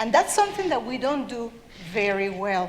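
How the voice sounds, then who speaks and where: Against noticeable background noise, a woman with a South American accent speaks in a high voice that swings very widely in pitch. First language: Spanish. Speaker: children's author. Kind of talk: talk to an audience.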